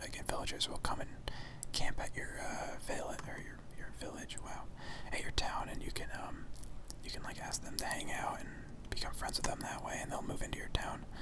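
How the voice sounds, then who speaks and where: Someone whispers at a fairly quick pace in a relaxed tone, with noticeable background noise behind them. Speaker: gamer / ASMR video creator. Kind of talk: casual gameplay commentary talking to camera. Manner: soft, relaxed, conversational.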